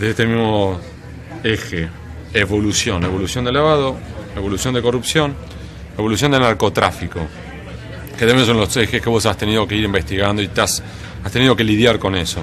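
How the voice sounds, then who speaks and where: Over noticeable background noise and audible room echo, a man with a fairly low pitch talks at a fairly quick pace with ordinary pitch variation and long, frequent pauses. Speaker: interviewer. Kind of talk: interview.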